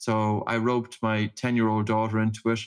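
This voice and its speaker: The recording is very clean and the background silent. A man talks in a monotone, flat intonation. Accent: Irish. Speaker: breathing practitioner and author. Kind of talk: interview.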